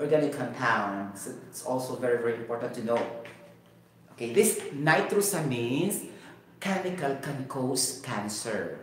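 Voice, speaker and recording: Amid audible room echo and light background noise, a man with a Cebuano Filipino accent talks at a moderate pace with ordinary pitch variation and big swings in loudness. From Cebu, Philippines. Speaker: YouTube science and health educator. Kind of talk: improvised lecture. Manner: halting, with pauses; animated, code-switching. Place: home room.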